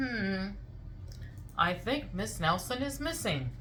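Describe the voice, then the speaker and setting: In a put-on character voice, a woman talks at a fairly slow pace with medium pitch. Clear background noise can be heard. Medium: read story. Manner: slow, musing.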